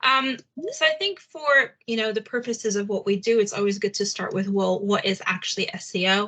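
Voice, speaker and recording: This woman's voice sits fairly high, with ordinary pitch variation. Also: fairly quick pace. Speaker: head of SEO at a digital agency. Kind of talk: webinar presentation. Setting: video call. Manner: fast.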